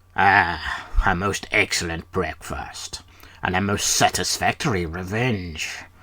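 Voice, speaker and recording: A put-on character voice from a man, very deep and low in pitch, at a fairly slow pace. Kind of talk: comic overacting. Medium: read story. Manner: melodramatic, gloating villain talk.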